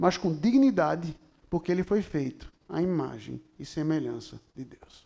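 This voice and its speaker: The man's loudness rises and drops sharply as he talks at a fairly slow pace. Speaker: pastor. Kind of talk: sermon. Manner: animated.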